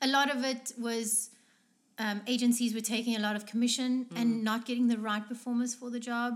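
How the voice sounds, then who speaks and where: A woman's fairly high-pitched voice, fairly quick in pace, with monotone, flat intonation. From South Africa, small town. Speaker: dancer and stuntwoman. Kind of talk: casual chat. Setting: in a kitchen.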